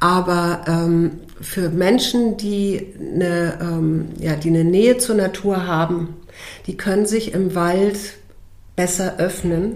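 Amid audible room echo, a woman speaks very slowly in a fairly low voice with fairly even intonation. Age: 50s. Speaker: coach and nature therapist, former TV journalist. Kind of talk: casual interview.

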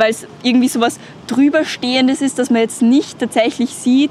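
A woman's high voice with ordinary pitch variation amid noticeable background noise. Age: young. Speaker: climate activist. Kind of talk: interview. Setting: outdoors.

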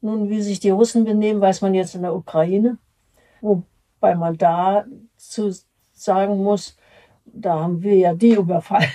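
A woman talks fairly slowly in a medium pitch with a dark, mellow tone and fairly even intonation, leaving long, frequent pauses. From Berlin. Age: 80s+. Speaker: retiree recalling her life. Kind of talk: life-story interview. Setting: nursing home. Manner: halting.

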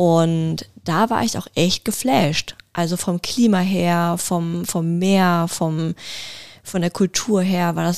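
This woman has a plain, everyday voice, fairly low in pitch, with lively intonation. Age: young. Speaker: podcast co-host. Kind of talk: casual chat.

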